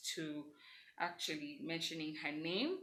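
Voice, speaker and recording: A woman's bright, sharp tone at a moderate pace, with audible room echo. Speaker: vlogger. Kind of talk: casual vlog monologue. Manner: loud; animated.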